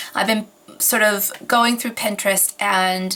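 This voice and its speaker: A woman talks in a monotone, flat intonation over noticeable background noise. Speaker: makeup artist. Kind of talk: tutorial. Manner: casual, conversational.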